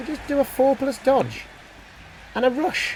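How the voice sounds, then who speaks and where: Amid noticeable background noise, a man with a British accent speaks very slowly at an extremely high pitch. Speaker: gaming youtuber. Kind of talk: game commentary. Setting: home kitchen. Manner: thinking aloud, hesitant; quiet.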